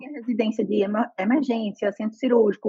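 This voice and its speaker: Somewhat breathy and animated, the voice races along at a very fast pace in a dry, close sound with no echo. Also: woman. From Brazil, Pernambuco interior (Northeast). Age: 30s. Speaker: nurse. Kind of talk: interview.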